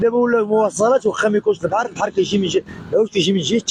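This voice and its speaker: Dry and close with no echo, a man talks at a very fast pace in a high pitch with an animated tone. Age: 40s. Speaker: fish wholesaler. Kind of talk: street interview. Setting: wholesale fish market.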